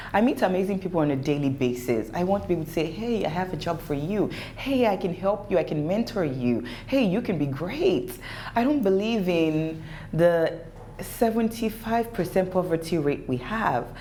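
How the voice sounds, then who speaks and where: A woman with a fairly low pitch talks in an animated tone, her pitch swinging very widely. Noticeable background noise and audible room echo surround her. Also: moderate pace. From Nigeria (Lagos). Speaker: entrepreneur. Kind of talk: interview. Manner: pitch rises when passionate.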